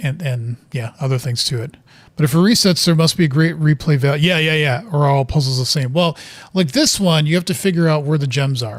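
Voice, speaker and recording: In a somewhat breathy voice, a man with an American accent talks at a fairly quick pace with a fairly high pitch and ordinary pitch variation. The recording is very clean, with a silent background. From US Midwest (Wisconsin). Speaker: video game streamer. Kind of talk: gameplay commentary. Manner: casual, with fillers and restarts.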